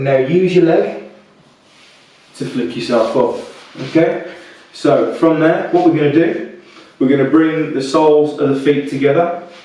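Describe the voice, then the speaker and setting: A man with a British accent speaks at a moderate pace in a fairly high pitch, with fairly even intonation and long, frequent pauses. Noticeable background noise and audible room echo fill the recording. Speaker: fitness instructor. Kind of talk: guided workout instruction. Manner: soft-spoken; calm, relaxed.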